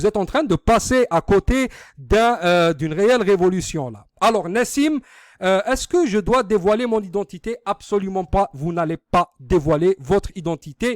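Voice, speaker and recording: A man with a high pitch and lively intonation speaks at a fairly slow pace, the sound dry and close with no echo on a very clean recording with a silent background. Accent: North African. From Algeria, Algiers suburbs. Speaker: online business marketer. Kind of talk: sales pitch. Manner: halting, many filler sounds; informal.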